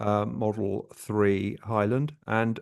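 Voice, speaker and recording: A man speaks over a quiet background. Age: 60s. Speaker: travel vlogger. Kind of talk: casual chat. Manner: halting.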